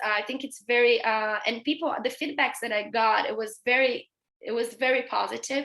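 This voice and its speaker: A woman speaks with a Brazilian accent in a raised, projected voice. Her tone is bright and sharp, and her pace is moderate. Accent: Brazilian accent in English, noticeable. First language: Portuguese. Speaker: veterinary pathology researcher. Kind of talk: interview in a webinar. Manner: halting, many fillers.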